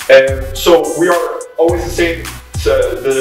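There is audible room echo and faint music in the background as a man speaks. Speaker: fitness instructor. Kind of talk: tutorial. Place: empty room. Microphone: camera far.

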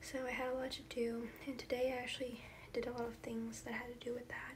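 A soft-spoken woman talks at a fairly quick pace in a high pitch with monotone, flat intonation. Light background noise is present. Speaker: vlogger. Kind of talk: casual vlog chat. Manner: soft-spoken ASMR murmur. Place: home room. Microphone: phone near.

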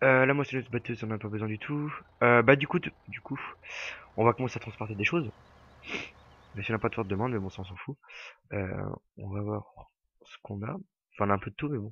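A man talks very fast with ordinary pitch variation, yet leaves long, frequent pauses. His loudness swings widely, and the sound is dry and close with no echo. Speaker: gaming YouTuber. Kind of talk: casual gameplay commentary. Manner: casual, hesitant with many fillers.

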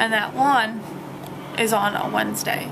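Here a woman speaks with a high pitch. Noticeable background noise is present. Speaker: college student vlogger. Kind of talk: casual vlog chat. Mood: slightly stressed, venting. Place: home room. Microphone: phone near.

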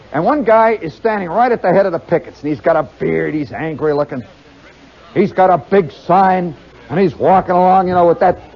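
Crowd noise sits behind a man talking at a fairly quick pace. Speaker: storyteller performer. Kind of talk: comic storytelling monologue. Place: stage. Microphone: old recording.

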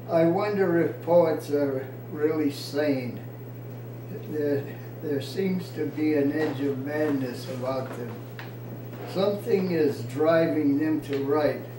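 Against noticeable background noise, a man speaks very slowly in a fairly high voice. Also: ordinary pitch variation. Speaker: poet. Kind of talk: informal poetry reading, unrehearsed, with stumbles and laughter. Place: home room. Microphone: camera far.

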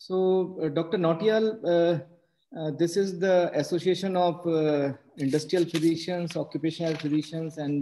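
A man with fairly even intonation against light background noise. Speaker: webinar host introducing the speaker. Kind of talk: formal webinar introduction. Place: home room. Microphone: video call.

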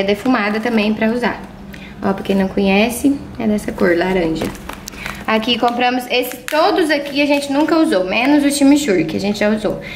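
A woman speaks fairly quickly at a high pitch with lively intonation and very even loudness, over noticeable background noise and audible room echo. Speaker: vlogger. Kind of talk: casual vlog.

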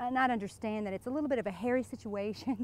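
The recording is dry, with no echo. A woman's voice is heard. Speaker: interviewee. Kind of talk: playful mock interview monologue. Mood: playful, teasing. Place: waterside.

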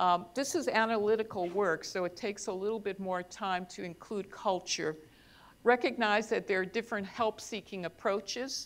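A woman with an American accent talks at a moderate pace in a plain, everyday voice, her medium pitch showing ordinary pitch variation. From US Midwest (Ohio), Mexican American. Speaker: psychologist and professor; professor. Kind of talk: conference talk. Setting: stage with audience. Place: hall. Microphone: lapel.

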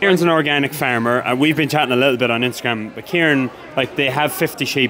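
This man talks at a very fast pace with a northwest Irish accent, his pitch fairly high and ordinary in its variation. Light background noise sits behind him. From Ireland, Sligo; Ireland. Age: 20s. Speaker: farmer and sheep shearer; sheep shearer vlogger. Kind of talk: casual vlog chat. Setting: outdoors at agricultural show. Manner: animated.

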